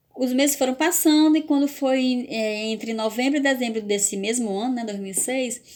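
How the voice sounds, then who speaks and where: The speech comes at a moderate pace with ordinary pitch variation, in a very clean recording with a silent background. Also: woman. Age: 40s. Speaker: vlogger. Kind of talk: personal testimony vlog. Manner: halting, with repetitions.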